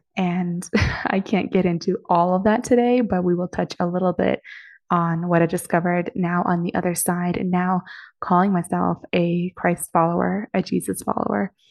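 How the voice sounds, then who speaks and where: A woman with a plain, everyday voice talks at a moderate pace with an American accent. Her pitch sits fairly low and her intonation stays fairly even. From Moscow, Russia, then Boston area. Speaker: podcast host and business coach. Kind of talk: personal testimony monologue.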